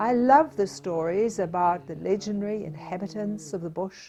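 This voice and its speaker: The speaker is a woman. She talks with a New Zealand accent. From New Zealand, King Country / Waikato. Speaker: artist and teacher. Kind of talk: scripted narration.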